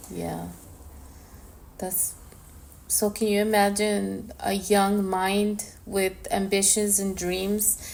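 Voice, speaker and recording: A woman speaks in a Spanish accent at a very slow pace, leaving long, frequent pauses. Audible room echo surrounds her voice. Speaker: podcast co-host. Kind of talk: casual chat.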